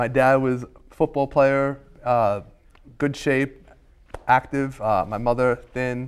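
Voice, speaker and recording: A man in a New York accent talks at a very slow pace with long, frequent pauses. His pitch is medium and his intonation fairly even. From Staten Island, New York. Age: 30s. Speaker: talk show guest. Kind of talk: casual chat.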